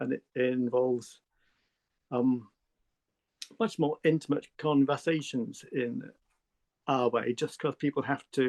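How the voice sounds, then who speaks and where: A man speaks with a southern English accent. His pace is fairly slow. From England. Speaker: artist. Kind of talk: interview. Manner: halting.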